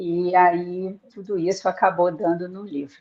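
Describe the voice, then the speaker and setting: A woman at medium pitch speaks at a very slow pace. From Rio de Janeiro, Brazil. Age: 60s. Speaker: author and tour guide. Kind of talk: interview on live book launch.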